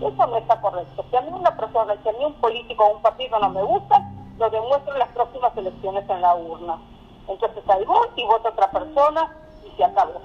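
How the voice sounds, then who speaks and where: Very fast, with very wide pitch swings and big swings in loudness, a woman speaks at a fairly high pitch over noticeable background noise. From Argentina. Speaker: educator and Holocaust scholar. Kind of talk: interview.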